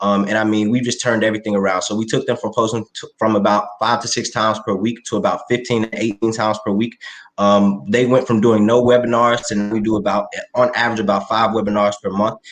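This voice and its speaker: A man's medium-pitched voice, very fast, with monotone, flat intonation. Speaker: start-up founder pitching to judges. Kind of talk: pitch Q&A.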